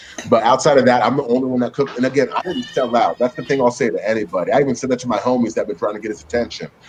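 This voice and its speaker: With an American accent, a man of medium pitch races along at a very fast pace with hardly any pauses and fairly even intonation, while noticeable background noise sits behind him. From US West Coast, San Francisco Bay Area. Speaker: cook and social media creator. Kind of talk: casual chat.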